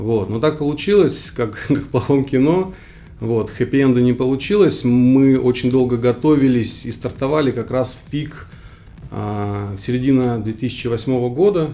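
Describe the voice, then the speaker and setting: Over music in the background, a man at medium pitch speaks at a fairly slow pace with big swings in loudness. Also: ordinary pitch variation. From Kyrgyzstan, Central Asia. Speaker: startup founder. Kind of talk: interview. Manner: halting, many fillers.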